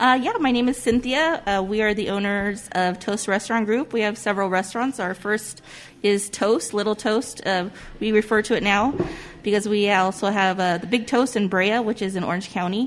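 A woman speaks with a Southern California accent at a medium pitch and a moderate pace, with ordinary pitch variation. Noticeable background noise can be heard. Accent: Southern Californian English. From US West Coast (Whittier, Southern California). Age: 40s. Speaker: restaurant owner. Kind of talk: casual interview. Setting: on location in a restaurant.

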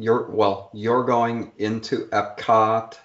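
The speaker is a man with a medium pitch. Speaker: podcast producer. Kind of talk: casual chat.

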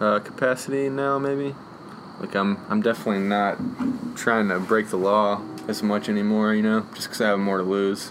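A man's fairly low voice with fairly even intonation, against noticeable background noise. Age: 20s. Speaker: graffiti artist and muralist. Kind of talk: casual interview. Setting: outdoors on a front porch.

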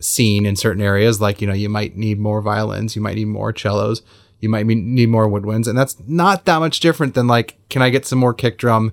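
Recorded very cleanly against a silent background, a man with an American accent talks at a fairly low pitch with ordinary pitch variation. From US West Coast, Los Angeles. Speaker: film score mixer and engineer. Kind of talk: interview.

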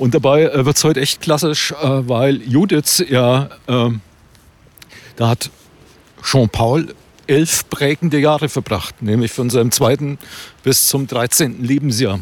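Pausing long and often, a man speaks at a fairly slow pace and medium pitch, with ordinary pitch variation and very even loudness. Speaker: podcast host and playwright. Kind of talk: casual chat while hiking. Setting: outdoors on a walk.

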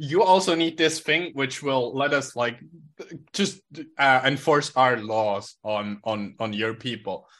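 A man speaks very slowly at a medium pitch. His intonation is lively. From Switzerland. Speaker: hacktivist. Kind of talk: casual chat. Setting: video call.

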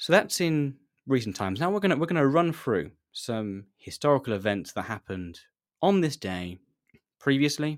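With a southern English accent, a man talks at a moderate pace, his pitch swinging very widely between long, frequent pauses. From southern England, near Reading. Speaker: podcast host. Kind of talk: solo live stream chat.

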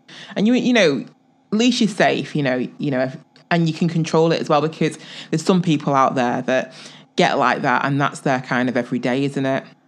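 Speaking fairly quickly in an English accent, a woman has a very deep, low pitch and lively intonation. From England. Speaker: podcast co-host. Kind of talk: casual chat.

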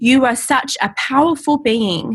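With an Australian accent, a woman speaks high-pitched and very slowly, using ordinary pitch variation. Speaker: channeler. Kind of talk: casual chat; channeled message reading.

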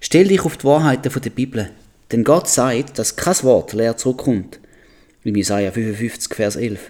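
A man speaks at a fairly slow pace with a medium pitch and a dark, mellow tone. His intonation is lively. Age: 40s. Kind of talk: Bible teaching podcast.

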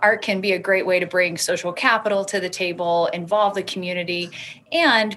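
Against a quiet background, a woman with a plain, everyday voice speaks at a medium pitch and moderate pace with fairly even intonation. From US South, Alabama. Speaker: art consultant and business owner. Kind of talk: interview.

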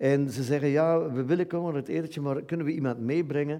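Here a man speaks with a Dutch accent in a fairly high voice. His tone is dark and mellow, with ordinary pitch variation. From Flanders, Belgium. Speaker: writer interviewing guest. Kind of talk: interview on stage. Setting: stage with audience.

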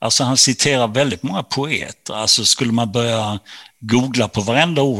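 Over a very clean recording with a silent background, a man speaks at a moderate pace in a bright, sharp tone. His pitch varies in an ordinary way, and the sound is dry and close, with no echo. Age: 60s. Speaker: author. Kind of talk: interview.

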